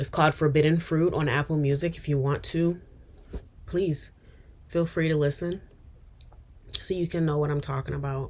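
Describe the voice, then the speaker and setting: Speaking at a moderate pace with long, frequent pauses, the woman uses a very deep, low voice and monotone, flat intonation. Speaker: vlogger and singer. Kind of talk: personal vlog confession. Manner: halting, hesitant.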